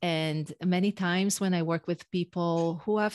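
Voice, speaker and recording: A woman with an Israeli accent, fairly low-pitched, at a fairly slow pace with fairly even intonation, in a dry, close sound with no echo on a very clean recording with a silent background. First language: Hebrew. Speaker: executive and leadership coach. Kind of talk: podcast interview.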